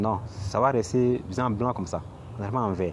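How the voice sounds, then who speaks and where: Somewhat breathy, a man with a non-native accent speaks at a moderate pace with ordinary pitch variation. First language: not French (speaking French). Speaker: crypto YouTuber. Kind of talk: screen tutorial. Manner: halting, many repetitions.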